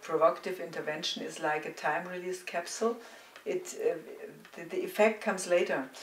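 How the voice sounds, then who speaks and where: This woman speaks with a German accent. There is noticeable background noise. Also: medium pitch for a woman, ordinary pitch variation, fairly quick pace. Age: 60s. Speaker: psychotherapist. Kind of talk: interview. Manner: halting.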